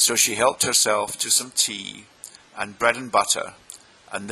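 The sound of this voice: Unforced reading, its intonation fairly even.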